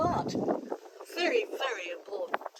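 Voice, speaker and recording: Over noticeable background noise, a woman speaks with an English accent. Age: 80s+. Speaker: gardener. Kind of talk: casual chat. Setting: outdoors. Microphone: sound sometimes bad from turning away.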